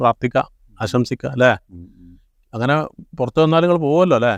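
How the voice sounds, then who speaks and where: This is a normal speaking voice with lively intonation. The sound is dry and close, with no echo. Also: man. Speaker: home-movie maker and show host. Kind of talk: casual interview.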